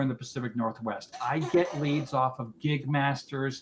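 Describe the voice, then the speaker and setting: With noticeable background noise present, a man talks at a fairly high pitch. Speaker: business founder presenting at networking meeting. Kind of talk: business presentation. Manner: fast.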